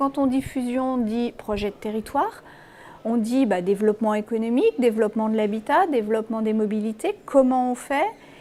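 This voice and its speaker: Speech at a moderate pace comes with noticeable background noise. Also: woman. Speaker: local politician. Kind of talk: interview answer.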